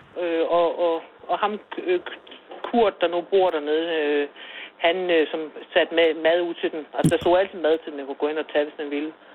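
A woman's fairly low voice at a moderate pace, with long, frequent pauses, big swings in loudness and noticeable background noise. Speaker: village shopkeeper. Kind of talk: casual chat. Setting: phone call.

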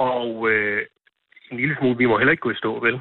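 Very fast speech comes from a man whose pitch sits in the middle range. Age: 30s. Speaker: local politician. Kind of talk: phone interview. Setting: phone call. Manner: halting.

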